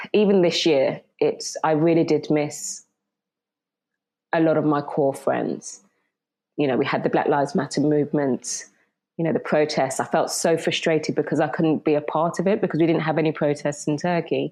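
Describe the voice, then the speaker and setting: At a moderate pace, a woman speaks with a very deep, low pitch, a dark, mellow tone, ordinary pitch variation and very even loudness against a quiet background. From Birmingham, England; British Jamaican. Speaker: sports broadcaster. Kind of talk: interview.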